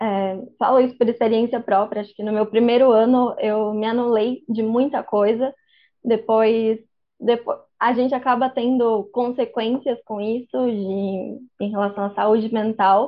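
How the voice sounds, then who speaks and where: A woman speaks at a fairly slow pace, her fairly high pitch held in a flat, monotone line. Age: 20s. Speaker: medical student. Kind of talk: casual interview. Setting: podcast recording.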